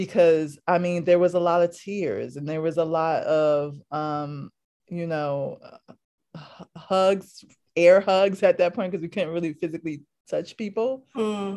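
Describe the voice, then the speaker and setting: In an American accent, a woman with a fairly low pitch, a dark, mellow tone, and ordinary pitch variation speaks at a fairly slow pace. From New York City, Lower East Side of Manhattan. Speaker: manager at a homecare worker training organization. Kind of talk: oral history interview.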